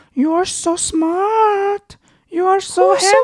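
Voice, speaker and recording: A woman's put-on character voice, extremely high in pitch and very slow. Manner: cooing, sweet, affectionate.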